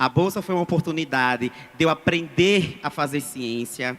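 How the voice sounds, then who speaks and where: A plain, everyday voice with ordinary pitch variation speaks at a fairly slow pace in a very clean recording with a silent background. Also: man. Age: 30s. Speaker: schoolteacher speaking from the audience. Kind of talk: public audience statement. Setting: public hearing, audience microphone.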